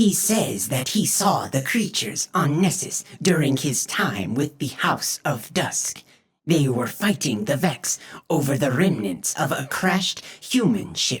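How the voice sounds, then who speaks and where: A man's put-on character voice, fairly high in pitch. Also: fairly slow pace. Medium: read story. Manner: dry, skeptical.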